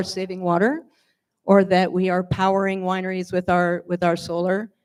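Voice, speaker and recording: A woman with an American accent and a medium pitch, in a very clean recording with a silent background. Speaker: wine industry panelist. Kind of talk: panel discussion.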